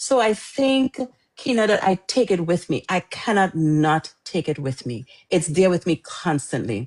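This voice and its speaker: A woman with a slight Trinidadian accent, fairly low in pitch, with very wide pitch swings and a dry, close sound free of echo. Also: fairly slow pace. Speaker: author. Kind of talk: interview.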